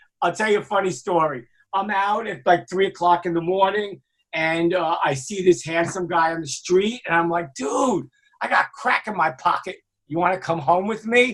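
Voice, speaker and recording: Speaking with a New York accent, a man uses a high pitch and ordinary pitch variation. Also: moderate pace. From New York, Brooklyn. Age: 60s. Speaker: music industry executive and author. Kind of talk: casual interview chat.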